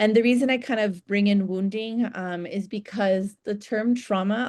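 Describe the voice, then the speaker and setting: The woman's voice sits at a medium pitch, recorded dry and close with no echo. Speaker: psychologist and trainer. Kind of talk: lecture. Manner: fast.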